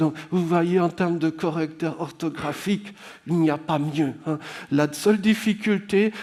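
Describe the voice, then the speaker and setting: Fairly even intonation at a fairly slow pace amid noticeable background noise. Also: man. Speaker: public speaker and writer. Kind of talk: conference talk. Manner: slurred-sounding delivery.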